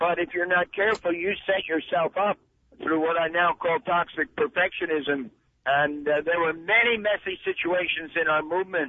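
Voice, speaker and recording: This man speaks with an American accent at a high pitch, his pitch moving by ordinary amounts. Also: moderate pace. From US Northeast, New Jersey. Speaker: missions leader. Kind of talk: interview.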